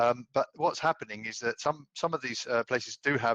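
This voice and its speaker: With a British accent, a man talks fairly quickly at a medium pitch and with ordinary pitch variation. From UK. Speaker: audience member asking a question. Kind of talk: webinar Q&A question. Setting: video call webinar. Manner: halting, many fillers.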